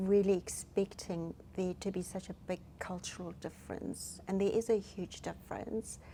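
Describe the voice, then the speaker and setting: With a South African accent, a woman talks at a moderate pace with hardly any pauses. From South Africa, Durban. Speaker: hospice counsellor. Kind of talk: interview. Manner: halting, many fillers.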